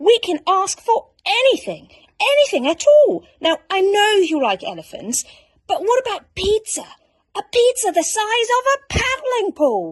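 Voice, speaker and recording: A woman does a put-on character voice at an extremely high pitch. She keeps a moderate pace. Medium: read story. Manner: earnest and fussy.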